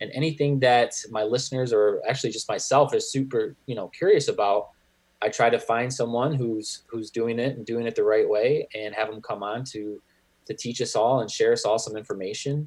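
In a Michigan accent, a man talks at a fairly quick pace. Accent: Michigan, general American. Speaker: podcast host. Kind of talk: casual interview chat.

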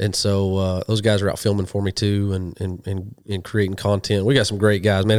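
The recording is very clean, with a silent background. A man speaks very fast in a fairly low pitch. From western Oklahoma. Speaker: hunting TV host and ordained minister. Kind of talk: casual interview chat. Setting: in person, sharing a couch with the host.

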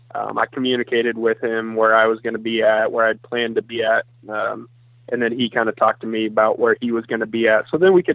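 In an American accent, a man talks in an ordinary speaking voice at medium pitch, with fairly even intonation. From Iowa. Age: 20s. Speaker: hunter and magazine writer. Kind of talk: casual interview. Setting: phone call.

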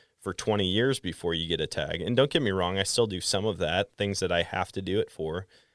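With an American accent, a man talks at a fairly quick pace in a fairly low pitch, an ordinary speaking voice. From Wisconsin, US Midwest. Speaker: podcast host and hunter. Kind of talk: casual interview chat.

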